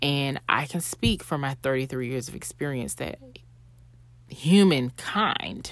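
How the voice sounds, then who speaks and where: A woman with a very deep, low voice speaks at a very slow pace with vocal fry and lively intonation, on a very clean recording with a silent background. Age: 30s. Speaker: podcast host. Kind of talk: solo faith reflection monologue. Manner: conversational.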